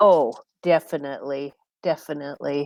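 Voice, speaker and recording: The pace is fairly slow. The speaker is a woman. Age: 60s. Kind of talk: casual podcast conversation. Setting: podcast recording.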